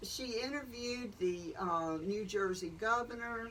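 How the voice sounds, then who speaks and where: Speaking with a Southern US accent at a fairly slow pace, a woman uses a fairly high pitch and ordinary pitch variation over noticeable background noise. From Columbus, Georgia. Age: 70s. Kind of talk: interview answer. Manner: frank, conversational.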